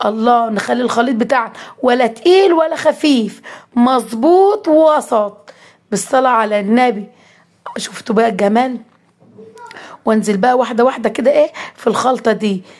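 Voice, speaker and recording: Speaking fairly slowly with long, frequent pauses, a woman uses a high pitch and lively intonation while her loudness stays very even. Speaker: cooking vlogger. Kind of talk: cooking tutorial. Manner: animated.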